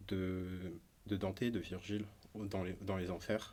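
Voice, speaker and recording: A man's fairly low voice moves at a moderate pace, its intonation monotone and flat. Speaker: musician and illustrator. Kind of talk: podcast interview. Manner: halting, many filler sounds.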